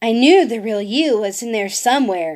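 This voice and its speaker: Put-on character voice from a woman, moderately paced and pitched fairly high. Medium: read story. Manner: warm, gentle.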